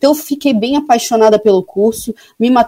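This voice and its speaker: A woman talks at a fairly quick pace, her fairly high voice somewhat breathy with a dark, mellow tone. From Brazil, Florianópolis (Santa Catarina). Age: 30s. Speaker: sanitary and environmental engineer. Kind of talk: radio interview. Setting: remote call into radio show.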